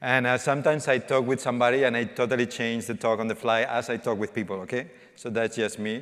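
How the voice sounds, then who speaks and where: Here a man talks at a very fast pace with hardly any pauses. His pitch is medium, with fairly even intonation. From Spain. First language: Spanish. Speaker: developer evangelist. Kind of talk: conference talk. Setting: stage with audience. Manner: interactive, informal.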